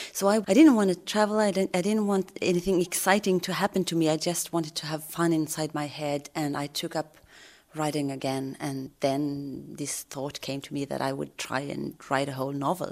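A woman's very deep, low pitch in a Swedish accent, with ordinary pitch variation, on a very clean recording with a silent background. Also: moderate pace. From northern Sweden (Kiruna). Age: 40s. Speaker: crime novelist. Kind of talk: interview. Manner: halting, with frequent repetitions.

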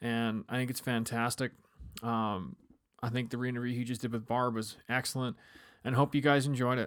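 Over a silent background in a very clean recording, a man at medium pitch speaks at a moderate pace in a flat monotone. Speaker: podcast host. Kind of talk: outro announcement.

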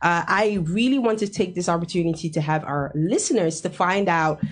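This woman has an unremarkable speaking voice. She talks at a fairly quick pace with a fairly low pitch. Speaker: radio host. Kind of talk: radio interview. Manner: laughs often.

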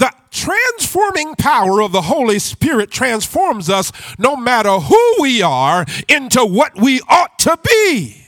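Extremely high-pitched man with an animated, warm tone, very wide pitch swings, fairly slow pace. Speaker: visiting preacher. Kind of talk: sermon, call-and-response preaching to a live congregation. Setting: church with congregation. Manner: animated, exhorting the crowd for loud amens; joking, warm and rhythmic with crowd interaction.

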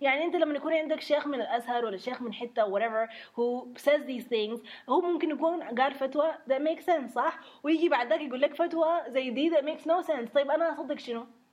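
Noticeable background noise sits behind a woman speaking at a fairly quick pace. Her high voice shows ordinary pitch variation. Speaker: podcast co-host. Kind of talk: casual chat with code-switching. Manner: animated, joking.

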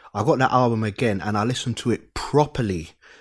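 With a London accent, the speaker keeps a fairly even intonation in a very clean recording with a silent background. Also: man. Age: 30s. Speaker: podcaster. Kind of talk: casual chat.

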